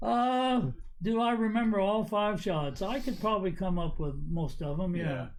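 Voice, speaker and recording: A man with an American accent speaks at a moderate pace in a high voice, with lively intonation. His loudness stays very even, and the room echo is audible. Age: 80s+. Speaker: golf coach. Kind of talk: casual chat.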